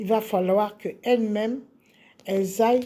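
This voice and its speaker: A woman speaks at a fairly high pitch. Her tone is dark and mellow, and somewhat breathy. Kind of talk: spiritual teaching monologue. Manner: slow; hesitant with fillers.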